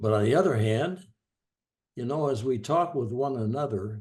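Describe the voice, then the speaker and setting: A man speaks with lively intonation and a somewhat breathy quality. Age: 90s. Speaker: discussion participant. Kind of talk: group discussion. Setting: video call.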